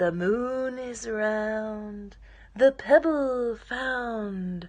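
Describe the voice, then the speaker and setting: It is spoken very slowly. This is a put-on character voice. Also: female-sounding voice, fairly high pitch for a woman. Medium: read story.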